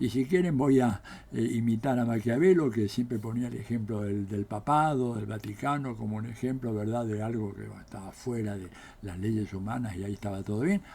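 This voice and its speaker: A man's voice with a dark, mellow tone, medium pitch, ordinary pitch variation and a moderate pace. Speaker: political scientist. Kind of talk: political commentary monologue. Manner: animated.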